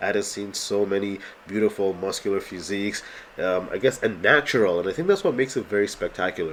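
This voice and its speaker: A man's fairly low voice at a very fast pace, over noticeable background noise. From Canada. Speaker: amateur bodybuilder and vlogger. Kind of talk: vlog voiceover commentary. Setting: voiceover over contest footage. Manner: casual, with filler words.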